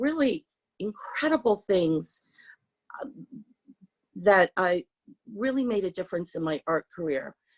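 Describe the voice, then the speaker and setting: A woman with a Californian accent talks at a fairly slow pace, leaving long, frequent pauses. Her pitch swings very widely, and the sound is dry and close with no echo. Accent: Californian American English. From San Francisco, US. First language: Hungarian. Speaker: artist. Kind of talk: interview talk with slides. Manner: hesitant, many fillers.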